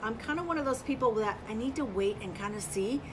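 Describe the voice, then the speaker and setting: Very fast, high-pitched female speech with lively intonation amid noticeable background noise. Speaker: furniture painting livestream host. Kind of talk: live tutorial stream. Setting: livestream video. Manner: casual, chatty; quiet while concentrating.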